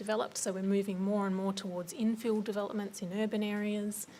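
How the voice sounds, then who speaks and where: A woman talks with an Australian accent. Her pace is fairly quick. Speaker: government policy officer. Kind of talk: presentation at a forum. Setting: forum with audience. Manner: hesitant, many fillers.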